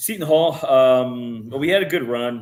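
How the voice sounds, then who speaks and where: In an American accent, an unremarkable speaking voice keeps a moderate pace, its pitch varying in an ordinary way. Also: man. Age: 30s. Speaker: professional soccer goalkeeper. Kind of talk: casual interview.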